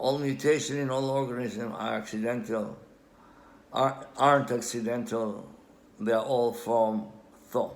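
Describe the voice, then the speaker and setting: A man with an Israeli accent talks at medium pitch and a moderate pace. His pitch varies in an ordinary way, and audible room echo surrounds him. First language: Hebrew. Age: old. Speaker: amateur language researcher. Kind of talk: lecture. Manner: halting.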